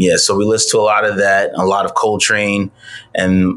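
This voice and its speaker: A man talks in an American accent, keeping a moderate pace. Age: 30s. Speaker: musician. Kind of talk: casual chat.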